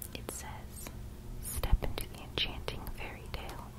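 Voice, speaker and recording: Someone whispers at a moderate pace over loud background noise. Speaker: storybook reader. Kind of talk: read-aloud storytelling with commentary. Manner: whispered reading of book blurb. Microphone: phone near.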